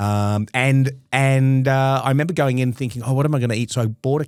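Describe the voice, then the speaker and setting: This man talks at a fairly quick pace in a medium pitch with fairly even intonation, on a very clean recording over a silent background. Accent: Australian. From Australia. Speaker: comedy podcast co-host. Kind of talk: casual chat. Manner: halting.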